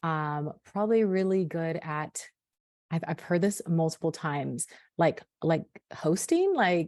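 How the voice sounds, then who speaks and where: A woman with a slight Sacramento accent speaks with ordinary pitch variation against a quiet background. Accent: slight Sacramento accent, drops T's. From Sacramento, California. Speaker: hair care brand founder. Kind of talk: podcast interview. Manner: clear, eloquent.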